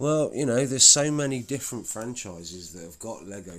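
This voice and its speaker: A man talks in a relaxed tone with a British accent. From Britain. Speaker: YouTuber building Lego on stream. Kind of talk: casual live-stream chat while building. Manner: relaxed, halting with self-corrections.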